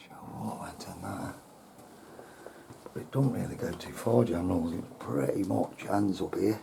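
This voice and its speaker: Lively intonation at a fairly slow pace, with long, frequent pauses, audible room echo and noticeable background noise. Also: man, fairly low pitch for a man. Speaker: urban explorer vlogger. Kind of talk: walkaround vlog narration. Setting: outdoors at historic site with visitors around. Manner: quiet.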